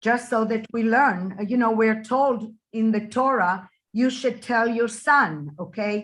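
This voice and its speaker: Against a quiet background, a woman talks slowly-ish at a fairly high pitch, somewhat breathy, with ordinary pitch variation. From Israel. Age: 60s. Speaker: Holocaust survivors' daughter, interviewee. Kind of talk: interview.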